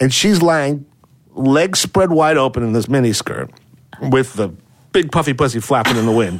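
A man talks in a plain, everyday voice at medium pitch. His intonation is lively and his pace moderate. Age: 40s. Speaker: celebrity scandal fixer. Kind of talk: casual chat. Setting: studio.

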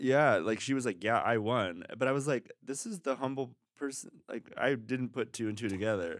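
On a very clean recording with a silent background, a man with a normal speaking voice and medium pitch talks at a moderate pace with ordinary pitch variation and hardly any pauses. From Mexico, raised in Los Angeles. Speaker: adult film performer and DJ. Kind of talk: casual chat. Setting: studio, in person.

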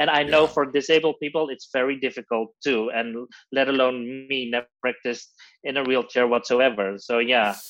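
A man with a Dutch accent at a moderate pace, with fairly even intonation. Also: medium pitch for a man. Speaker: drag queen, reality show contestant. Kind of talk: interview. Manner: halting.

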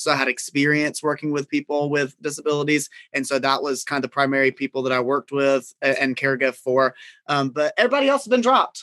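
A man speaks at a very fast pace in a Southern US accent. His tone is bright and sharp, his intonation monotone and flat. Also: fairly high pitch for a man. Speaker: caregiver and reality TV cast member. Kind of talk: casual chat.

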